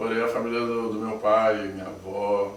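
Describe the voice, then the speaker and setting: In a Rio de Janeiro accent, a man talks in a fairly low pitch with monotone, flat intonation, amid noticeable background noise and audible room echo. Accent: carioca. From Rio de Janeiro, Brazil (Niterói). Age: 30s. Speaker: interviewee claiming alien abduction. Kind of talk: testimony.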